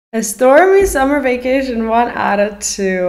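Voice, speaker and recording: A woman's voice in audible room echo over a quiet background. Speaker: streamer reacting to an anime. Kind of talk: casual reaction commentary. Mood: thoughtful, a bit puzzled. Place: home room.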